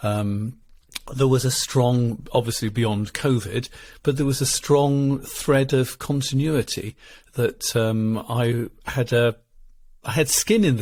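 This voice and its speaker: On a very clean recording with a silent background, a man with an English accent speaks at a medium pitch and a fairly slow pace, his intonation fairly even. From England. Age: 60s. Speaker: marital therapist. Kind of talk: interview conversation.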